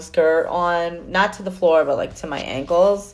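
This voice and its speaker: An animated woman with a New York accent and a fairly low pitch. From New York City. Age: 50s. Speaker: podcaster. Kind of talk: casual monologue.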